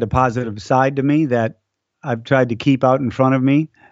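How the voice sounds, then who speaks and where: Using an ordinary speaking voice, a man talks at a medium pitch and a moderate pace. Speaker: race announcer. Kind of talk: casual interview. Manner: warm, laughs often.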